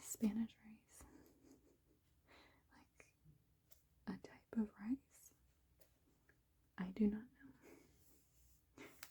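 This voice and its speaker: A whispering woman at a very slow pace, with long, frequent pauses and big swings in loudness. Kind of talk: ASMR cookbook browsing ramble. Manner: soft-spoken.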